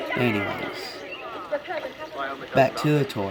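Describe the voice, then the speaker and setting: In a room with audible echo and noticeable background noise, a man with a fairly high pitch speaks at a very slow pace. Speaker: gaming video creator. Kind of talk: casual game walkthrough. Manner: casual, hesitant.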